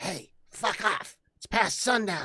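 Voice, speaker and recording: A quiet, put-on character voice. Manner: hostile, gruff.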